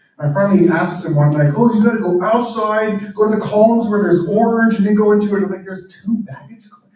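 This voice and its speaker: A man talks at a fairly quick pace with a high pitch. Audible room echo surrounds his voice. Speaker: author and pastor. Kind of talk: talk to live audience. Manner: fast.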